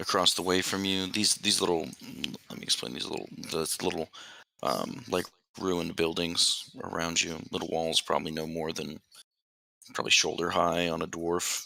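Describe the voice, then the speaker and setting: A man speaks in a put-on character voice, very deep and raspy, with fairly even intonation. His pace is moderate, broken by long, frequent pauses. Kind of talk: tabletop game narration. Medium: actual play. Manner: halting, filler-heavy, casual.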